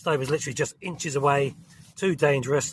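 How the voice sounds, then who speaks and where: A man with a London accent, his pitch fairly high and his pace fairly quick. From southern England. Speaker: outdoor camping vlogger. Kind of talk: casual vlog talk to camera. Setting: outdoors in a forest, inside a tent.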